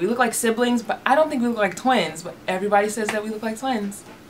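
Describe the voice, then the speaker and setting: A woman speaks with a fairly high pitch. Noticeable noise sits in the background. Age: 30s. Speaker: beauty vlogger. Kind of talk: casual vlog talk to camera. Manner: animated.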